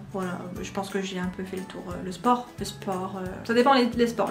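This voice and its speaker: Ordinary pitch variation, with music in the background and audible room echo. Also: woman. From France. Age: 20s. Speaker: YouTuber. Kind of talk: casual Q&A vlog.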